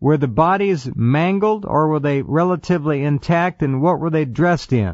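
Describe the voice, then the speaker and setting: A man's unremarkable speaking voice, fairly high in pitch, at a moderate pace with ordinary pitch variation and very even loudness. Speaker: radio talk show host. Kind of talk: radio interview questions.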